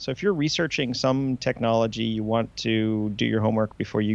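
A man with a medium pitch talks at a fairly quick pace in a normal speaking voice, his intonation fairly even. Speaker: co-host. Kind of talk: casual chat. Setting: studio.

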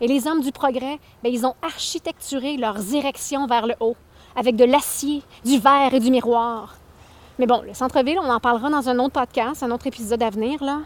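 In a dry, close sound with no echo, a woman with a high voice speaks in an animated tone at a moderate pace. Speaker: podcast host and spoken-word artist. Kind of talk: angry rant, passionate opinion monologue. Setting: outdoors, walking past the houses. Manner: indignant, emphatic.

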